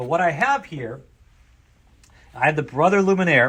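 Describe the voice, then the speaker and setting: At a moderate pace, a man talks loudly in a bright, sharp tone, animated and with lively intonation. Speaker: sewing store owner demonstrating products. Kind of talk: product demonstration.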